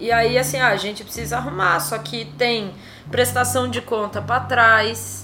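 A woman speaks at a fairly slow pace, with audible room echo and music playing in the background. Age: 30s. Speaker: lawyer and left-wing political activist. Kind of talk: casual interview.

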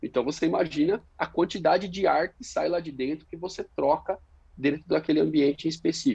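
Talking at a fairly quick pace, a man with a fairly high-pitched, dark, mellow voice shows ordinary pitch variation and big swings in loudness. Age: 30s. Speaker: fire protection engineer. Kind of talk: interview.

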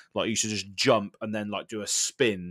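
A man with a fairly low voice speaks at a very fast pace with fairly even intonation, recorded very cleanly with a silent background and a dry, close sound without echo. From Swindon, England. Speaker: gaming content creator. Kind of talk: casual chat.

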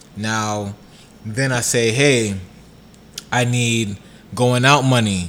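Long, frequent pauses mark a man's very slow delivery in a New York accent, his medium pitch carried by fairly even intonation amid audible room echo. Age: 20s. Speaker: podcast co-host. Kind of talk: casual chat.

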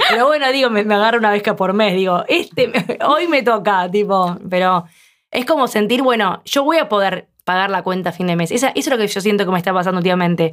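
A woman's normal speaking voice, medium in pitch, with lively intonation at a fairly quick pace. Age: 40s. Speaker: podcast host. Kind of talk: casual chat.

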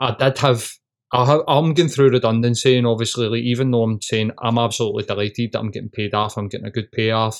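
The speech moves at a fast pace. Its intonation stays fairly even. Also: man, medium pitch for a man.

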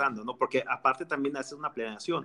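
This man has a fairly high pitch. His tone is bright and sharp. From Mexico, Jalisco. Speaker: music industry PR director and radio host. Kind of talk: casual chat.

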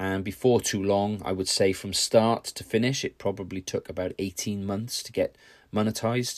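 A man's fairly low voice with a British accent, fairly even intonation and a moderate pace, dry and close with no echo on a very clean recording with a silent background. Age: 50s. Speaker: podcaster and hobby YouTuber. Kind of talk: casual solo podcast monologue.

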